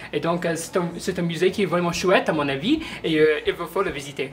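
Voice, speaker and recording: A woman's fairly low voice with ordinary pitch variation, amid noticeable background noise. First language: not French (speaking French). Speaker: museum visitor. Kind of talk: interview testimony. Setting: museum. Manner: halting, many hesitations.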